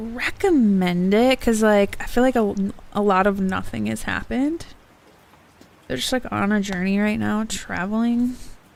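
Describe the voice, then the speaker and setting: A woman is speaking at a medium pitch. Her pitch variation is ordinary. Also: moderate pace. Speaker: book streamer. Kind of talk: casual livestream chat. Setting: livestream. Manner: chatty, hesitant with many fillers; loud.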